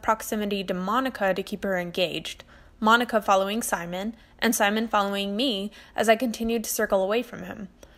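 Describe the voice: Fairly even intonation in plain reading aloud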